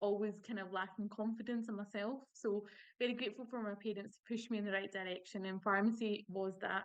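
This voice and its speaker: A woman speaks in a Scottish accent at medium pitch. Her pace is fairly quick and her intonation monotone and flat. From Scotland. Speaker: pharmacist. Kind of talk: panel webinar talk.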